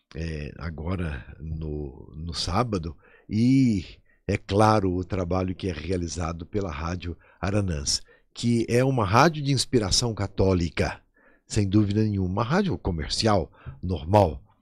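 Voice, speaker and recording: The recording is very clean, with a silent background. A man with a very deep, low pitch speaks at a fairly slow pace and lively intonation. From southern Minas Gerais, Brazil (Jacutinga, São Paulo border). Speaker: archbishop. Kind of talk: radio interview.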